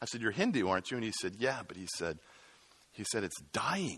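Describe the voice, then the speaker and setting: A man's fairly quick speech, with vocal fry and very wide pitch swings. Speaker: missionary speaker. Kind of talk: workshop teaching talk.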